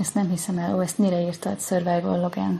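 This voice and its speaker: A woman talks at a fairly quick pace with a fairly low pitch and vocal fry. Her intonation is monotone and flat. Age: 40s. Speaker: self-knowledge teacher. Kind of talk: live Q&A. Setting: TikTok livestream.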